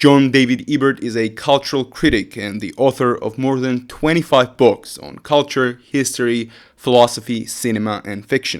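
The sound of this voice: In a very clean recording with a silent background, a man speaks at medium pitch. His pace is moderate and his pitch variation ordinary.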